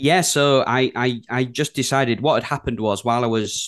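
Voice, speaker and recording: A man with a Yorkshire accent talks with ordinary pitch variation. The sound is dry and close with no echo against a quiet background. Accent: broad Yorkshire. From Yorkshire, England. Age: 30s. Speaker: design studio co-founder. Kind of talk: casual chat. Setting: video call.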